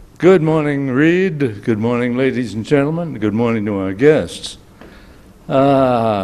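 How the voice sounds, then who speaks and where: A man at medium pitch talks at a fairly slow pace with lively intonation, and audible room echo surrounds his voice. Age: 80s+. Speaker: commentator. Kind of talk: opinion commentary.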